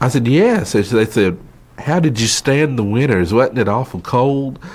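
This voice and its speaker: Speaking with a North Carolina accent, a man uses lively intonation at a medium pitch, keeping his loudness very even and his pace fairly slow. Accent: Southern US (North Carolina). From North Carolina, Wilkes County. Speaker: oral history interviewee. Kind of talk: interview.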